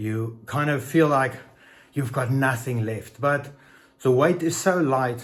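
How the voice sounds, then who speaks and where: A man's somewhat breathy voice at a medium pitch and moderate pace, with audible room echo. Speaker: fitness vlogger. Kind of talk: casual vlog talk. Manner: halting.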